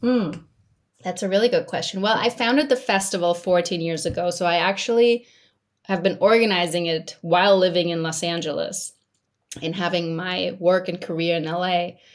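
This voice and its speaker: Speaking at a moderate pace, a woman with an American accent uses an ordinary speaking voice at medium pitch with ordinary pitch variation. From Majorca, Spain. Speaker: film festival founder and consultant. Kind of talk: interview.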